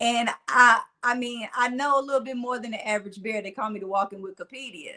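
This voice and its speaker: A woman with a Mississippi accent talks at a very fast pace. Her tone is bright and sharp, her intonation fairly even. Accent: Southern country twang, Mississippi. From US South, Mississippi-style speech, raised near Nashville. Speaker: motivational speaker. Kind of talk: casual interview chat.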